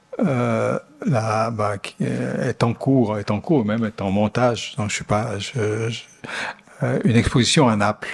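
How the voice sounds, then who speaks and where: Over noticeable background noise, a man with an Italian accent talks at a very slow pace and a fairly low pitch. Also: ordinary pitch variation. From Italian-speaking Switzerland (Ticino). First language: Italian (speaking French). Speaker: architect. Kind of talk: Q&A after a lecture. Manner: halting, many repetitions and fillers.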